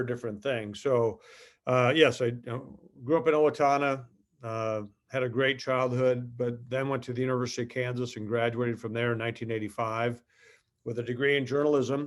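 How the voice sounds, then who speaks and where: A man talks at a fairly quick pace with an American accent. His intonation is flat and monotone. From southern Minnesota, US Midwest. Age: 50s. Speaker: company executive. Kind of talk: interview. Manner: halting, many fillers.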